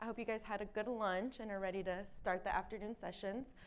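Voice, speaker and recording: At a fairly quick pace, a woman talks with a fairly high pitch and ordinary pitch variation. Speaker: education consultant presenting to parents. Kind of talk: presentation to an audience. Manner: fast.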